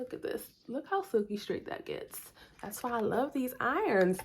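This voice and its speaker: A woman's high-pitched voice with very wide pitch swings, at a fairly slow pace, over noticeable background noise. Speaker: hairstylist and beauty vlogger. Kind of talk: hair tutorial vlog. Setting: home recording with ring light. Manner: casual, chatty.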